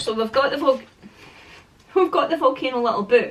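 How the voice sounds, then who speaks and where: Through noticeable background noise, a woman with a Scottish accent speaks with lively intonation. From Scotland. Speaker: parenting vlogger. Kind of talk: casual product review vlog. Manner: rambling, chatty.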